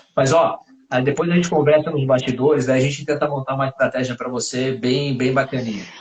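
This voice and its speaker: A man talks at a fairly quick pace in an ordinary speaking voice, his intonation fairly even. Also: medium pitch for a man. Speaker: doctor. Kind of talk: interview on live stream.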